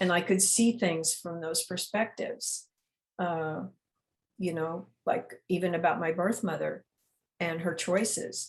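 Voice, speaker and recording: A woman's fairly low-pitched, somewhat breathy voice with fairly even intonation. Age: 70s. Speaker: memoir author. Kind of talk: interview. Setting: video call. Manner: halting.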